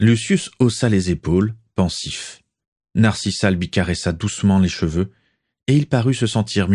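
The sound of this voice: An unforced reading voice with ordinary pitch variation is heard, and the background stays quiet.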